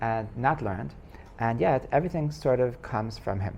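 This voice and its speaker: The voice has vocal fry and lively intonation. Room echo is audible. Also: man. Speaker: rabbi teaching a class. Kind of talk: lecture. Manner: fast; halting, many repetitions and fillers.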